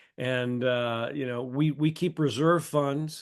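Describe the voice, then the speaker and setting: With a plain, everyday voice, a man speaks at a medium pitch and fairly even intonation. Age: 60s. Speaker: real estate developer and professor. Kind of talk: interview.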